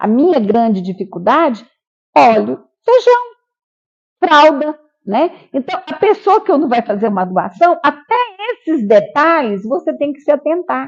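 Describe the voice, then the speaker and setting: Pausing long and often, a woman with a high pitch speaks at a fairly slow pace with very wide pitch swings. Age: 70s. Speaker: elderly care home director. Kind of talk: documentary interview. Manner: halting.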